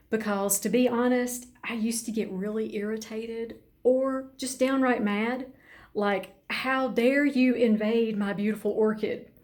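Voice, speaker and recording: The tone is calm and the pace fairly slow. Intonation stays monotone and flat, with audible room echo. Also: woman, fairly high pitch for a woman. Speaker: orchid grower. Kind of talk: tutorial.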